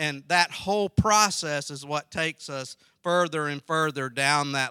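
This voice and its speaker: A man with a Southern US accent speaks at a fairly slow pace. His tone is bright and sharp, with a dry, close sound and no echo. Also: very clean recording, silent background. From South Carolina. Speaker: pastor and theological college president. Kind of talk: sermon. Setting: early morning Bible study with audience.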